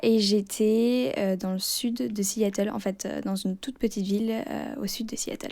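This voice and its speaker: A woman speaks at a fairly high pitch and a fairly slow pace, with hardly any pauses. Her intonation is fairly even. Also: very clean recording, silent background. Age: 20s. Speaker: former exchange student. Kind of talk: interview. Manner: hesitant, many fillers.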